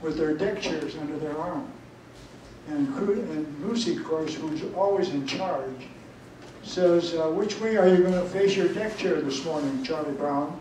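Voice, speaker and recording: Speech at a moderate tempo is heard over noticeable background noise. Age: 90s. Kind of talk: storytelling talk.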